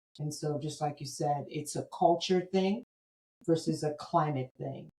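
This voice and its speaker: A woman with an American accent, very deep and low in pitch, dark and mellow, somewhat breathy, at a fairly slow pace with fairly even intonation. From United States. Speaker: podcast host. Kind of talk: podcast interview.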